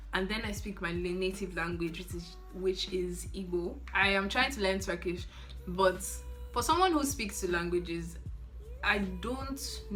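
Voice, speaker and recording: A woman at a fairly slow pace, with audible room echo and music in the background. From Nigeria. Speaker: YouTuber and medical student. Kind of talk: casual Q&A vlog.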